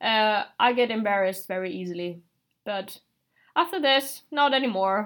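A woman's fairly high voice with a Finnish accent, lively intonation and a moderate pace, on a very clean recording with a silent background. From Finland. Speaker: exchange student. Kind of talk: casual chat.

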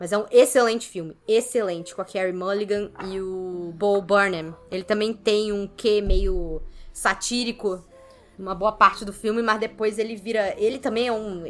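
A woman speaks in a normal speaking voice at a medium pitch and moderate pace, with fairly even intonation and big swings in loudness. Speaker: film critic. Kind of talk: casual chat.

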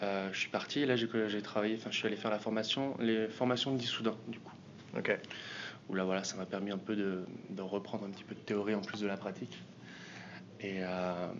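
A man's fairly low pitch at a fairly quick pace, broken by long, frequent pauses. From southwest France. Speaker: music booker and band manager. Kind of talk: interview. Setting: music industry event. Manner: hesitant, many fillers.

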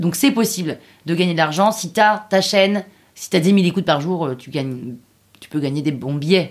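Big swings in loudness mark this woman's fairly low, animated voice, which moves at a moderate pace with lively intonation. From Paris, France. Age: 30s. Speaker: podcast creator. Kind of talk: interview.

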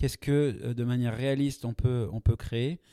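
A dark, mellow tone with fairly even intonation at a moderate pace, in a dry, close sound with no echo. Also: man. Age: 40s. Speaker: product manager. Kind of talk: interview. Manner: hesitant, frequent fillers and repetitions.

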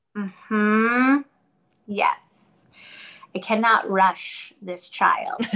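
A woman's bright, sharp, fairly high voice with lively intonation, very slow and broken by long, frequent pauses. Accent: American. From New York. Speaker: dancer and fitness instructor. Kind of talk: casual chat.

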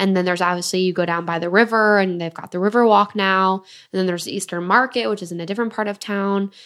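A woman with an American accent at medium pitch, very fast, with fairly even intonation, in a very clean recording with a silent background. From Michigan, Detroit area. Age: 20s. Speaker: podcast co-host. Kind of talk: casual chat. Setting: hotel room.

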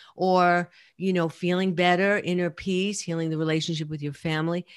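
A woman's fairly low voice in a New York accent, at a moderate pace with ordinary pitch variation. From New York City (Brooklyn and Queens). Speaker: addiction and trauma therapist. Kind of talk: interview.

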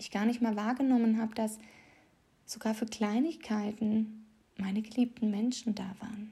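In a monotone, flat delivery, a woman with a fairly high pitch and a dark, mellow tone sounds somewhat breathy, leaving long, frequent pauses as her loudness swings widely. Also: moderate pace. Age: 30s. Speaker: podcast host, confidence coach. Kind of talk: casual monologue with poem reading.

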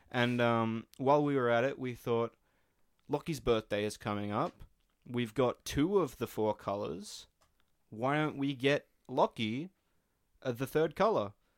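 With an Australian accent, a man talks at a fairly slow pace with long, frequent pauses on a very clean recording with a silent background. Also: medium pitch for a man, ordinary pitch variation. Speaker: podcast co-host and band musician. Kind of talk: casual chat.

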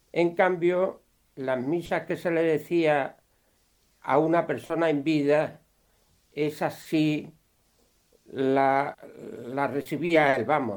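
This man's voice sits fairly high in pitch. He talks at a very slow pace with long, frequent pauses. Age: 80s+. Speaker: listener taking part. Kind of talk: group discussion.

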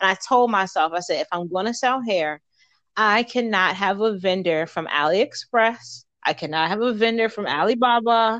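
A woman speaks in a normal speaking voice with an American accent, at medium pitch and a moderate pace. Her intonation is lively. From Baltimore, Maryland. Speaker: entrepreneur and soldier. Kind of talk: interview.

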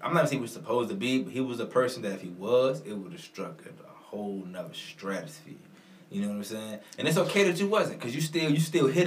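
This man talks at a very fast pace, his pitch swinging very widely. Audible room echo and noticeable background noise surround his voice. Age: 20s. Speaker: podcast co-host. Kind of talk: casual chat.

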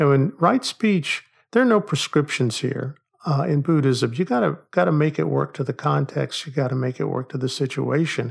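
A man with an American accent has a normal speaking voice, fairly high for a man, with ordinary pitch variation at a moderate pace. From Oklahoma, US. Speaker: psychology professor. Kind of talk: casual discussion.

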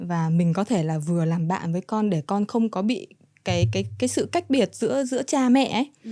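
A woman speaks at a moderate pace and medium pitch, with very wide pitch swings and a dark, mellow tone. The recording is very clean, with a silent background. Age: 20s. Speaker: model and young mother. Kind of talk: interview. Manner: mature-sounding for her age.

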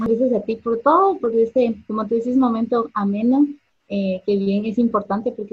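Here a woman speaks in a somewhat breathy voice. Her pitch is fairly high and her pace moderate. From Guatemala. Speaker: businesswoman and cosplayer. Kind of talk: online interview.

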